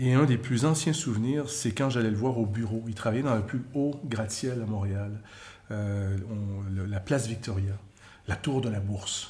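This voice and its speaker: A somewhat breathy man with a dark, mellow tone and medium pitch talks at a fairly slow pace with ordinary pitch variation, with audible room echo around him. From Quebec, Montreal. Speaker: journalism trainer. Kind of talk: personal testimony.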